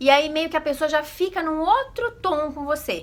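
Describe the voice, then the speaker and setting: A woman speaks at a moderate pace in a high pitch. Her tone is animated. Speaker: vlogger. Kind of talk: casual vlog talk.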